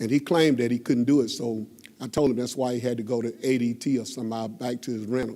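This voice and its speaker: At a moderate pace, a man with an American accent speaks in a medium pitch with fairly even intonation. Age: 60s. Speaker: member of the public at council meeting. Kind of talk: public comment at meeting. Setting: city council chamber. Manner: halting.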